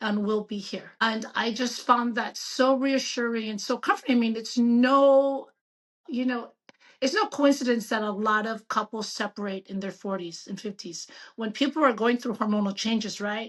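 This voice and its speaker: This woman has an unremarkable speaking voice, fairly high in pitch. She keeps a moderate pace and fairly even intonation. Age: 60s. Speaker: physician. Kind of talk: casual interview.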